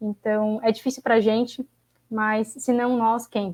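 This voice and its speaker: A woman speaks very slowly at a fairly high pitch, her intonation flat and monotone. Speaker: graduate student activist. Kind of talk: panel discussion closing remarks. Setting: online livestream.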